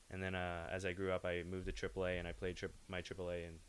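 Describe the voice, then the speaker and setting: A man talks at a very fast pace with an American accent. His very deep, low pitch stays monotone and flat. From California, Bay Area. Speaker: junior hockey player. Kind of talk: casual interview.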